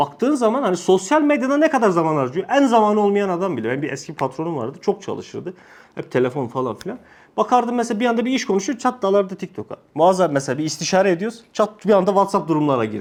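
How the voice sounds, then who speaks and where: A man talks at a very fast pace in a high voice with very wide pitch swings. The recording is very clean, with a silent background. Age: 30s. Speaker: religious study circle teacher. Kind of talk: religious lesson to a group. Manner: casual, joking.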